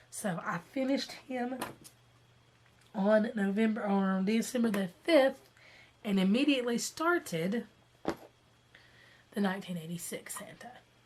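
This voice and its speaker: Pausing long and often, a woman with a fairly high pitch speaks at a fairly slow pace, somewhat breathy and with lively intonation. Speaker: cross-stitch vlogger. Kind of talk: casual talk to camera.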